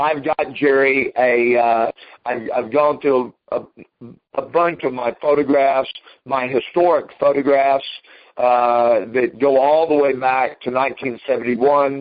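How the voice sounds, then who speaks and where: A man with a plain, everyday voice talks at a fairly slow pace, keeping a medium pitch and fairly even intonation. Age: 60s. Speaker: karate grandmaster and school owner. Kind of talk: interview. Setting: remote interview, from his office.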